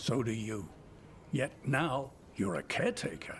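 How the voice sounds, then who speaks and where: A raspy, put-on character voice from a man, medium in pitch, at a moderate pace over clear background noise. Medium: video game. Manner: calm, measured.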